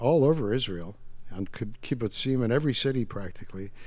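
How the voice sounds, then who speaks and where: Audible room echo surrounds a man's medium-pitched voice. He talks at a moderate pace with ordinary pitch variation. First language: Yiddish. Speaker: author. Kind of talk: interview.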